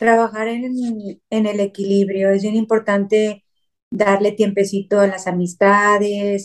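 A woman speaks at a medium pitch. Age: 50s. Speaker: psychotherapist. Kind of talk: interview.

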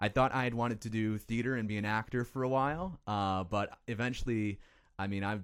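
A man with an American accent talks at a fairly quick pace in a plain, everyday voice. His pitch variation is ordinary, and the recording is very clean with a silent background. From northern Illinois, Chicago suburbs. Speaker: TV sports reporter. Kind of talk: casual chat.

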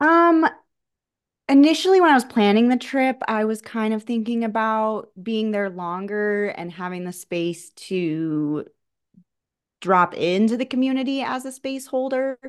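A woman with an American accent speaks at a fairly slow pace in an ordinary speaking voice, her fairly high pitch carried by lively intonation against a quiet background. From Colorado, US. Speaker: somatic practitioner. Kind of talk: casual chat.

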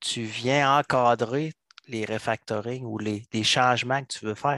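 A man's normal speaking voice at medium pitch, fairly slow pace and ordinary pitch variation, with a dry, close sound, no echo and a quiet background. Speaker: software coach. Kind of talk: casual chat.

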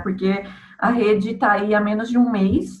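In a São Paulo accent, a woman talks at a fairly slow pace. Audible room echo mixes with noticeable background noise. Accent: Brazilian Portuguese, São Paulo. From Santo André, São Paulo, Brazil. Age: 30s. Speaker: marketing agency owner. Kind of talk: casual interview.

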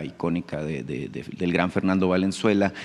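This man has a very deep, low voice. He talks at a moderate pace. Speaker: journalist. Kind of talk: press conference question.

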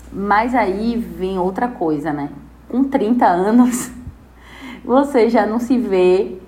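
Very slowly and with lively intonation, a woman speaks at a fairly high pitch with audible room echo. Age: 30s. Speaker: public relations professional. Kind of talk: interview testimony.

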